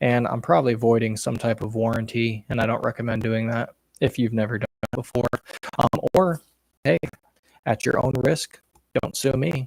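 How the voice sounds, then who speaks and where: The recording is dry and close with no echo as a man of medium pitch talks at a moderate pace with fairly even intonation and long, frequent pauses. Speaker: gun enthusiast streamer. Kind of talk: live stream Q&A. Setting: home at night, headset, others asleep.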